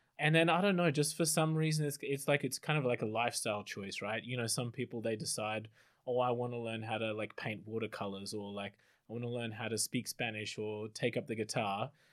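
On a very clean recording with a silent background, a man with an Australian accent talks at a fairly quick pace at a medium pitch. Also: ordinary pitch variation. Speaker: PhD student, former anthropologist. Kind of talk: panel discussion.

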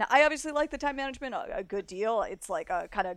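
With a normal speaking voice and an American accent, a woman talks at a fairly quick pace with ordinary pitch variation. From South Florida. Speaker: freelance games writer. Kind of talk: casual chat about games.

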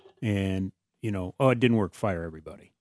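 A man's plain, everyday voice at a fairly low pitch with ordinary pitch variation, fairly quick, dry and close with no echo against a quiet background. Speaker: radio co-host. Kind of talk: casual radio banter.

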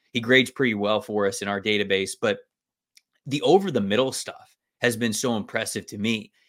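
A man with an American accent talks at a fairly quick pace in a plain, everyday voice, his pitch fairly low and his intonation fairly even. The recording is very clean, with a silent background. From Florida (Tampa). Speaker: football draft analyst. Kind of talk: casual sports talk.

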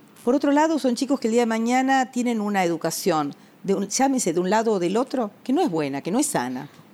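A woman speaks at a very fast pace. Her fairly high voice moves in very wide pitch swings. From Argentina, Buenos Aires (Villa Crespo). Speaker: family lawyer. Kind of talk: interview. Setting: home.

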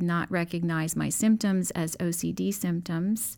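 Here is a plain, everyday voice with ordinary pitch variation. The recording is very clean, with a silent background. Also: woman. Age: 50s. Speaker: nurse. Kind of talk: testimony. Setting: studio.

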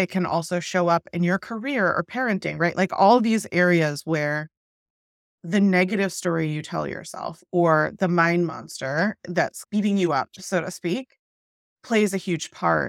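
With an American accent, a woman talks in an ordinary speaking voice, fairly low in pitch with ordinary pitch variation, the sound dry and close with no echo. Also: fairly slow pace, very clean recording, silent background. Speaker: podcast host. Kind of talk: interview conversation.

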